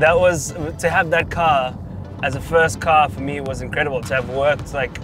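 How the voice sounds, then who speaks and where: A man talks at a fairly quick pace, with a dry sound and no echo. Clear music plays in the background. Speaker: guest. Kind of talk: interview answer. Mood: relaxed, cheerful. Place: car.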